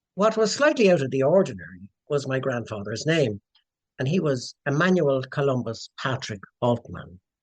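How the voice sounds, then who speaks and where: Speaking at a moderate pace, a man with a medium-pitched voice makes very wide pitch swings, recorded with a dry, close sound and no echo. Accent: Dublin. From Dublin, Ireland. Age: 60s. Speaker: descendant of historical figure, writer and lecturer. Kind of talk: podcast interview storytelling.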